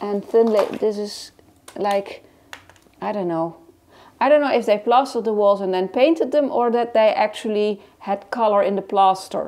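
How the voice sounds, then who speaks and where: With a dark, mellow tone, a woman speaks at a moderate pace and with ordinary pitch variation. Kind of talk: casual vlog chat.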